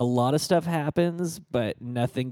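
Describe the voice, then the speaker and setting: A man's dark, mellow voice in a dry, close recording with no echo. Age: 30s. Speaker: tech podcast co-host. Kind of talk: casual chat.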